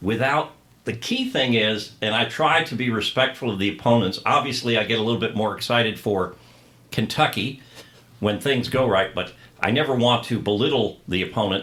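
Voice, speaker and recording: This man uses an ordinary speaking voice, his medium pitch rising and falling in an ordinary way as he keeps a moderate pace. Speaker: stadium PA announcer. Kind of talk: interview answer.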